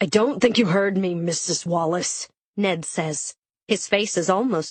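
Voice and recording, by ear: Someone reads aloud in a natural voice with ordinary pitch variation. The background is quiet.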